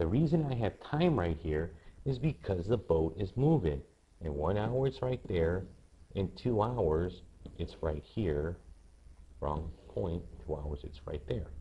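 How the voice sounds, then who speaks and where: At a fairly slow pace, a man speaks in a very deep, low, somewhat breathy voice with a dark, mellow tone, very wide pitch swings and long, frequent pauses. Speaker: math teacher. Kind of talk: tutorial.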